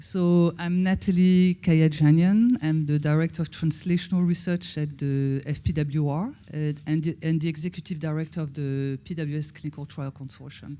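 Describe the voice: A woman speaks in a dark, mellow tone at a low pitch. Her intonation stays fairly even at a moderate pace with few pauses.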